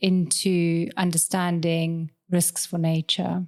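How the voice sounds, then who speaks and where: A woman speaks in a monotone with flat intonation. Her pitch is fairly low. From South Africa. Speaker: law lecturer. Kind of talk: casual chat.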